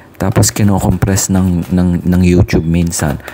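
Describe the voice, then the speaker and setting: Soft-spoken and very deep in pitch, a man talks with fairly even intonation amid noticeable background noise. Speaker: tarot reader. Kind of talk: casual chat.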